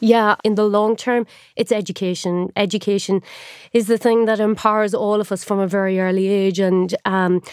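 In a very clean recording with a silent background and a dry, close sound free of echo, a woman with an Irish accent speaks at a moderate pace in a medium pitch, her intonation flat and monotone. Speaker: journalist turned tech entrepreneur. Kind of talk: interview conversation.

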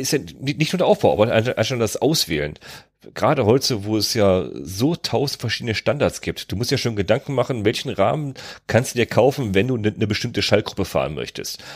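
With vocal fry and lively intonation, a man talks at a fairly quick pace on a very clean recording with a silent background. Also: medium pitch for a man. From Germany, North Rhine-Westphalia. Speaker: podcast host. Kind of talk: casual chat.

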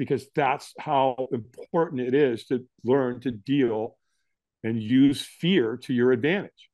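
A man with an American accent, medium pitch and ordinary pitch variation. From Southern California. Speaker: firewalk instructor and motivational speaker. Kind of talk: interview storytelling. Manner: animated.

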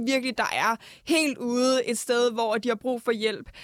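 This woman's voice is high in pitch. The intonation remains fairly even throughout. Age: 20s. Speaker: UN youth delegate. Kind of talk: casual chat.

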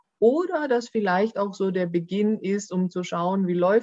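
The sound is dry and close with no echo. The speaker is a woman. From Germany, Baden-Württemberg (Swabia). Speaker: employment lawyer. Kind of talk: podcast interview.

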